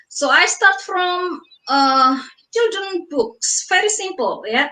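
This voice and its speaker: With a raised, projected voice and an Indonesian accent, a woman speaks at a very slow pace with lively intonation and a bright, sharp tone. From Indonesia (Surabaya). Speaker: author. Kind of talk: interview. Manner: halting.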